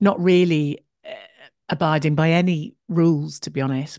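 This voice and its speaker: With an English accent and a fairly low pitch, a woman speaks at a moderate pace in a dry, close sound with no echo against a quiet background. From England, Shropshire. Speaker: podcast host and creative coach. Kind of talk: interview.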